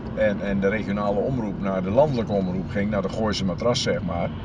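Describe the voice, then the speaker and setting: Recorded dry with no echo but with noticeable background noise, a man speaks with ordinary pitch variation. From Drenthe, Netherlands. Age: 70s. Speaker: sports reporter. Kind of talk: interview answer. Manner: energetic. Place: car. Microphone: camera far.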